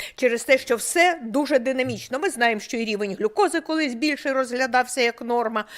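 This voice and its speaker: Her voice is high, with ordinary pitch variation. The woman talks at a fairly quick pace. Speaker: medical professor. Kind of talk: medical lecture.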